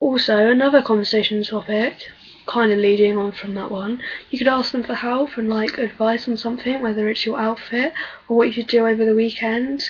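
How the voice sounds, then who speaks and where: A soft-spoken woman with an English accent talks at a fairly quick pace in a fairly high, monotone voice with flat intonation. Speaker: vlogger. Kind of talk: casual chat. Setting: webcam video at home.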